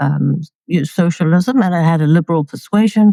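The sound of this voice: In a dry, close sound with no echo, a woman with a fairly low pitch and a dark, mellow tone talks at a moderate pace with ordinary pitch variation.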